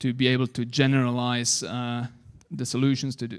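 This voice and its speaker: With a non-native accent, a man speaks in fairly even intonation on a very clean recording with a silent background. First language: not English. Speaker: conference speaker on web APIs. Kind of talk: technical conference talk. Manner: hesitant, many fillers.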